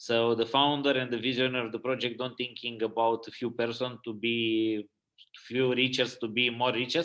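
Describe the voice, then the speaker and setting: At a moderate pace, a man talks at medium pitch in a bright, sharp tone. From Romania. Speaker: network marketing leader. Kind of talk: motivational webinar talk. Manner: halting, many fillers.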